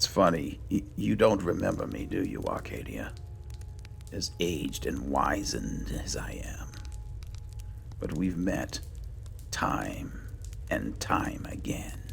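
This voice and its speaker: A man whispers in a put-on character voice at a fairly slow pace, leaving long, frequent pauses. Clear background noise runs underneath. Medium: game stream. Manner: wry, unhurried.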